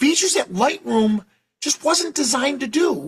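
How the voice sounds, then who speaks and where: An animated man with a New York accent and very wide pitch swings. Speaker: professional photographer and educator. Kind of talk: software tutorial demo. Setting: live webinar. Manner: fast.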